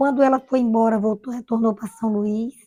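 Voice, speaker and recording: A woman's fairly high voice, dark and mellow in tone, in a dry, close recording with no echo. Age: 60s. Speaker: retired village schoolteacher. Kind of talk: oral history interview. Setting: at home.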